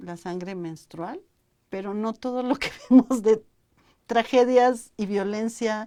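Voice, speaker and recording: Speaking very slowly, a woman uses lively intonation. Her voice sits fairly high and has a dark, mellow tone. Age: 60s. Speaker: university talk show host. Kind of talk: interview chat. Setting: live online broadcast.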